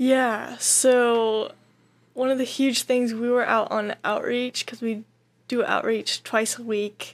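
A woman speaks very slowly with an American accent and a high pitch. Her intonation is monotone and flat, on a very clean recording with a silent background. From Montana. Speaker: missionary trainee. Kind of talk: casual interview.

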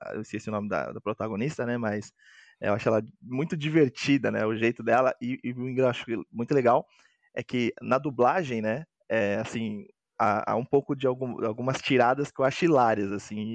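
Here a man speaks at a moderate pace and medium pitch with ordinary pitch variation. The sound is dry and close with no echo, over a quiet background. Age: 20s. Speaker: board game designer. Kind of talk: casual chat. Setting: video call. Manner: halting.

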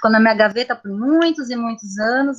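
Her pitch is high, and the woman's pitch variation is ordinary. She talks at a moderate pace. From São Paulo city, Brazil. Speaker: poet and art teacher. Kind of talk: casual chat. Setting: video call.

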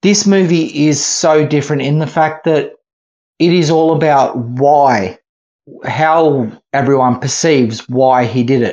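A man talks at a fairly slow pace in an Australian accent. His pitch sits fairly high. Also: ordinary pitch variation, very even loudness. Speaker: film festival programmer. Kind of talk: casual chat.

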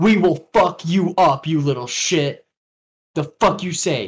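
The pace here is fairly slow. It is a put-on character voice at a middle pitch. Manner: menacing, aggressive.

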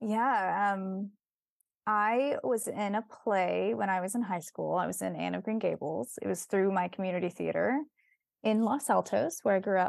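Moderate-paced speech from a woman, very clean recording and silent background. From US West Coast, San Francisco Bay Area. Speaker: actress and comedic performer. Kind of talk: casual interview chat.

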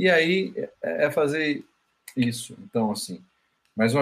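A man is speaking. His intonation is lively. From Paraíba, northeastern Brazil. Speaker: legal management consultant. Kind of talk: interview conversation. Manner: halting, with frequent fillers.

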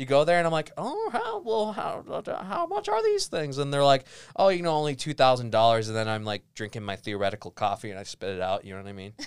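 A man rattles along at a very fast pace with hardly any pauses, a fairly high pitch, very wide pitch swings and big swings in loudness, all on a very clean recording with a silent background. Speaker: student news anchor. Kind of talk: casual chat.

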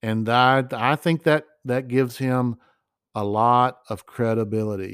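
A man's ordinary speaking voice, medium in pitch, with an American accent, a fairly slow pace, fairly even intonation, and a dry, close sound with no echo in a very clean recording with a silent background. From United States. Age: 50s. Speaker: podcast host. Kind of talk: opinion monologue. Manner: conversational.

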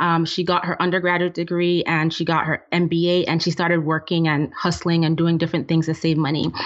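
A woman speaks in a fairly low voice at a fairly quick pace, her intonation monotone and flat. There is noticeable background noise. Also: hardly any pauses, very even loudness. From Nigeria. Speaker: finance blogger. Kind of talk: casual chat.

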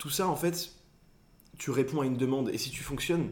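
A man with an unremarkable speaking voice talks at a fairly quick pace, with ordinary pitch variation. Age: 20s. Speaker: content creator. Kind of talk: casual chat.

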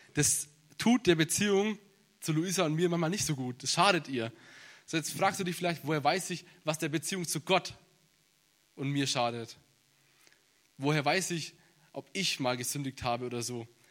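A man speaks at a moderate pace with a fairly high pitch. He takes long, frequent pauses. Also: ordinary pitch variation. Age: 20s. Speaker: bible seminary student preaching. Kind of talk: sermon. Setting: church service.

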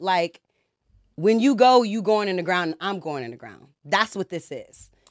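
The speaker has an American accent and an animated tone, moving at a moderate pace on a very clean recording with a silent background. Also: woman. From US South, Georgia (Conyers, near Atlanta). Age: 30s. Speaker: reality TV cast member and YouTuber. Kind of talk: casual podcast discussion.

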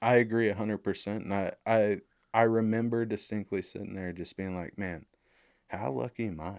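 A man speaks at a moderate pace in a fairly low pitch, with ordinary pitch variation and big swings in loudness. The sound is dry and close with no echo, and it is a plain, everyday voice. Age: 30s. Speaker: construction executive and army veteran. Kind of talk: casual interview.

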